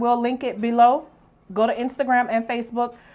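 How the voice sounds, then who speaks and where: The voice has an animated tone and a New Orleans accent. It moves at a fairly quick pace. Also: woman. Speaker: youtube show host. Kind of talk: casual cooking chat.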